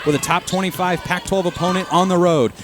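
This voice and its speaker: Music plays behind a man with a high pitch. He talks at a very fast pace with ordinary pitch variation. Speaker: radio play-by-play announcer. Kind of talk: live radio sports play-by-play. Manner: fast, energetic.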